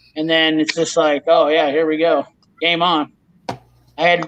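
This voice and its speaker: The speaker is a man with a moderate pace. His voice has a bright, sharp tone. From northeastern Iowa. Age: 40s. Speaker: mechanic and tool channel host. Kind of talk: casual live stream chat. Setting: live stream video call. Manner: loud; animated.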